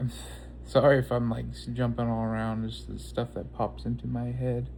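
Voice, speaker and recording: Very deep and low in pitch, a man speaks in monotone, flat intonation. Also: moderate pace. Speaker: vlogger. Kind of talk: casual personal talk to camera. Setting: outdoors. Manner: halting, stuttering; calm.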